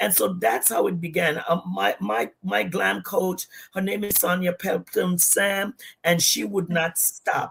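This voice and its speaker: A woman speaks in a Virgin Islands accent. She keeps a fairly slow pace. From US Virgin Islands, Saint Thomas. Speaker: pastor and entrepreneur. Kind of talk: livestream interview.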